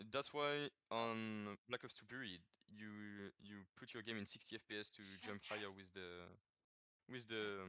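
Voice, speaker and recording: A man with a French accent speaks at a moderate pace in a fairly low pitch, with a bright, sharp tone and fairly even intonation. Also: big swings in loudness, dry, close sound with no echo. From France. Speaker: gaming world record holder. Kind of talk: podcast interview. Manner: halting, many fillers and repeats.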